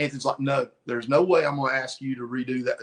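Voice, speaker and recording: Speaking at a moderate pace in a Southern US accent, a man uses a fairly high pitch with ordinary variation. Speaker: comic book cover artist. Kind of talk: casual interview. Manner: animated.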